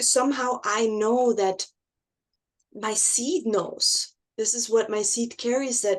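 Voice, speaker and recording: A woman speaks at a very slow pace with a non-native accent. Her pitch is fairly high and her intonation fairly even. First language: not English. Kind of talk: casual conversation. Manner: halting, many restarts.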